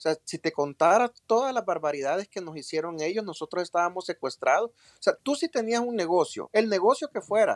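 The sound is dry and close with no echo. A man talks at a fairly quick pace in a Salvadoran accent. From El Salvador. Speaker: politician. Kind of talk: interview.

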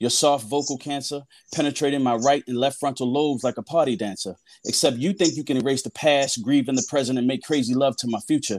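Talking at a very fast pace, a man with a fairly high pitch shows ordinary pitch variation on a very clean recording with a silent background. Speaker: poet. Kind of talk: spoken word poetry performance.

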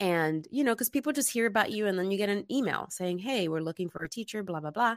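With an American accent and a normal speaking voice, a woman speaks at medium pitch with lively intonation, in a very clean recording with a silent background and a dry, close sound with no echo. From Bronx, New York. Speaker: actress and acting instructor. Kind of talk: casual interview chat.

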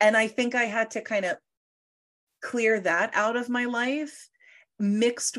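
This woman has a plain, everyday voice, fairly high in pitch. She talks at a fairly slow pace against a quiet background. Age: 20s. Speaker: psychic medium. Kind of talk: casual chat.

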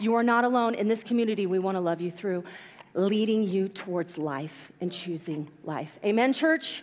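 A woman speaks loudly in an animated tone. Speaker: pastor. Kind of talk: sermon. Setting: church. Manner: loud, animated; informal, energetic.

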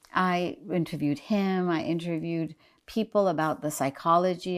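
With an American accent, a woman speaks in a normal speaking voice at a fairly low pitch. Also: very clean recording, silent background. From US, New Jersey and West Virginia. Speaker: journalist and activist. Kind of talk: interview. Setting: in the host's home.

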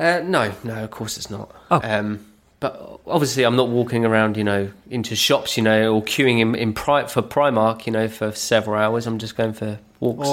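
Man with a British accent and fairly even intonation. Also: medium pitch for a man, moderate pace. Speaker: podcast co-host. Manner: casual, conversational.

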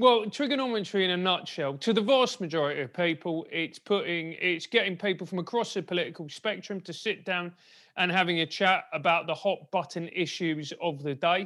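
A man's high, bright, sharp voice in a South London accent, at a fairly quick pace with hardly any pauses and ordinary pitch variation, on a very clean recording with a silent background. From South London, England. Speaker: podcast co-host. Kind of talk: casual interview chat.

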